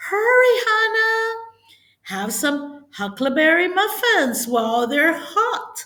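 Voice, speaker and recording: Putting on a squeaky character voice, a woman speaks at a very slow pace in an extremely high pitch with very wide pitch swings and audible echo. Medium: read story.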